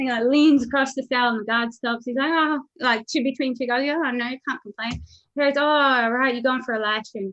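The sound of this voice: A woman with a high pitch, a fairly bright tone and fairly even intonation. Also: fairly quick pace.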